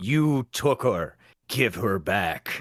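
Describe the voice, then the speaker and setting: A put-on character voice from a man, raspy and medium in pitch. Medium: actual play. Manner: stammering, fearful.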